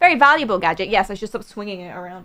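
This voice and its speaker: A woman at a very fast pace on a very clean recording with a silent background. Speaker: gaming streamer. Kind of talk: live stream chat.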